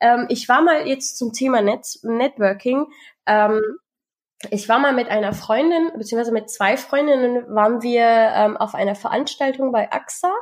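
A woman with a high voice talks at a moderate pace, her pitch varying in an ordinary way. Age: 20s. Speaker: podcast co-host. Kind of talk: casual chat.

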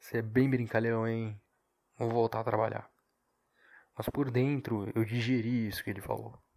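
A quiet, strained man's voice at medium pitch, monotone and flat, at a moderate pace with long, frequent pauses. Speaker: podcaster. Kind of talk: casual solo monologue. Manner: subdued, low energy; restrained, quieter delivery.

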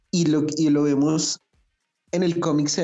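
Music plays behind a man as he talks. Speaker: podcast co-host. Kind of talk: casual chat.

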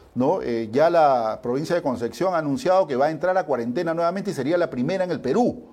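A man with a fairly high pitch at a very fast pace with hardly any pauses, over noticeable background noise. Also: lively intonation. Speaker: sports show host. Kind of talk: news reading.

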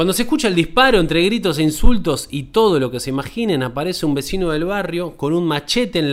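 With a Rioplatense accent, a man speaks at a fairly quick pace. His high pitch moves in very wide swings. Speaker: podcast host. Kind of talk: reading aloud.

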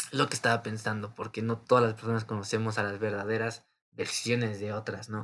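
This man has a Mexican accent and a fairly low pitch. His intonation stays monotone and flat. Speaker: podcaster. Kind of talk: casual monologue. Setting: home recording.

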